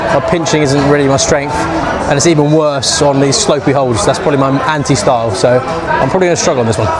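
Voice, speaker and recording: A man with a fairly high pitch and a British accent speaks at a very fast pace with fairly even intonation. Audible room echo and noticeable background noise surround him. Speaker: climbing vlogger. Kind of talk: casual vlog commentary. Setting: busy indoor climbing gym. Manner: loud, shouting over noise.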